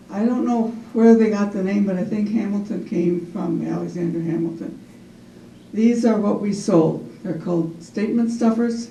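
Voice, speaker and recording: Heard with audible room echo, a woman with an American accent speaks at a moderate pace and medium pitch, her pitch varying in an ordinary way. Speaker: family business owner. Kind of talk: community talk. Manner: halting.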